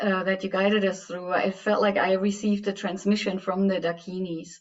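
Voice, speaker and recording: A woman speaks in a German accent at a medium pitch. Her intonation is monotone and flat. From Germany. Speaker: workshop participant. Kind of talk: testimony.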